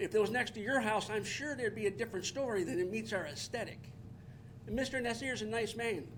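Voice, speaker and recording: Speaking very fast, a man has a high pitch and an American accent. His pitch varies in an ordinary way. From Detroit, Michigan. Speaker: resident speaking at public comment, military veteran. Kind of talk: public comment at township meeting. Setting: township boardroom meeting.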